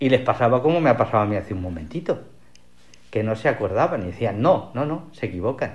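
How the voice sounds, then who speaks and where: Speaking at a very fast pace, a man with a medium pitch sounds somewhat breathy and makes very wide pitch swings. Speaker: literature professor. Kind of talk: radio interview.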